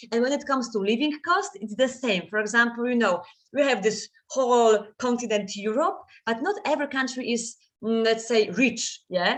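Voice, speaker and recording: A woman speaks in a Polish accent at a fairly high pitch. Her intonation is lively. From Poland. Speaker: guest lecturer. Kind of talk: lecture. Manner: fast.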